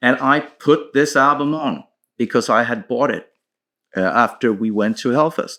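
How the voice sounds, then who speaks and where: A man's bright, sharp tone with lively intonation and a Swedish accent. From Sweden, Stockholm. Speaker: metal band musician. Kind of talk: casual storytelling monologue. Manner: hesitant with fillers.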